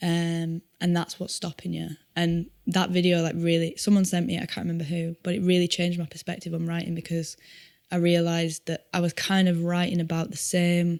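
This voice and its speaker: A woman speaks fairly quickly in a Yorkshire accent, her pitch fairly low and her intonation monotone and flat. The sound is dry and close, with no echo. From Yorkshire, northern England. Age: 20s. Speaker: singer-songwriter. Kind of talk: podcast interview. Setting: studio.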